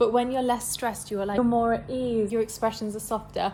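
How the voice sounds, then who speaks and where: Somewhat breathy, a woman's voice moves along rather quickly. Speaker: lifestyle vlogger and model. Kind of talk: casual talking-head vlog. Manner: soft-spoken, calm; casual, filler-heavy.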